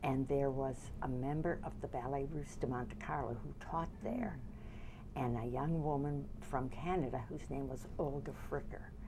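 Moderate pace against noticeable background noise. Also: woman. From US Midwest, Detroit. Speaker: dance teacher. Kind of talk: oral history interview. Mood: warm, smiling reminiscence. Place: studio.

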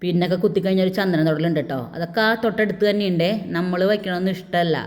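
A woman with a fairly low pitch speaks in fairly even intonation. Hers is an unremarkable speaking voice. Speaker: vlogger. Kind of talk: casual vlog narration.

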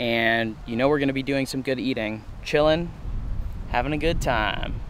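A man's voice, dry with no echo, over light background noise, with fairly even intonation at a moderate pace. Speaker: vlogger. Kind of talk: casual vlog chat. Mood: cheerful, laughing. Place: forest. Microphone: phone near.

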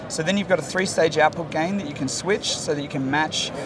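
A man talks at a very fast pace with ordinary pitch variation over noticeable background noise. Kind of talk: interview answer. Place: hall. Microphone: lapel.

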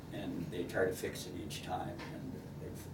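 A man speaks against noticeable background noise. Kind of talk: interview answer. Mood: warm, grateful.

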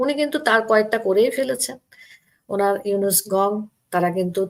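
Ordinary pitch variation runs through a normal speaking voice. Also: woman. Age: middle-aged. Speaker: writer and activist. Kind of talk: political commentary.

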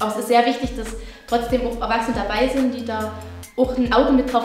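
A woman speaks at a very fast pace in a room with audible echo, faint music playing in the background. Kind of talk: interview answer. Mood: friendly, smiling. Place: home room.

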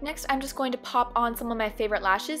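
A woman speaks at a moderate pace. Her voice is high, with music in the background. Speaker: makeup artist. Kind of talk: makeup tutorial voiceover.

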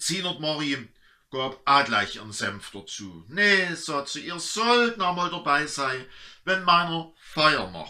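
A man with an Erzgebirge accent has a bright, sharp tone and fairly high pitch, at a very slow pace. His pitch swings very widely, and his loudness shifts greatly. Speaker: pastor. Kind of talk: dialect story reading. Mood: warm, humorous. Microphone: camera far.

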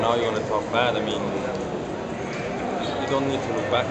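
The background noise is loud. A man's voice comes through it. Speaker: professional cyclist. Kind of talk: interview answer. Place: hall. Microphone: handheld.

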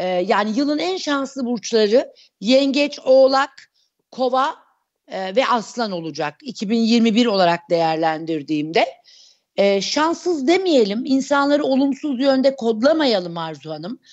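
Speaking at a very slow pace, a woman uses a high pitch with very wide pitch swings against a quiet background. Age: 40s. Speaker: astrologer; guest. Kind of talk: interview. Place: home room. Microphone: earbuds.

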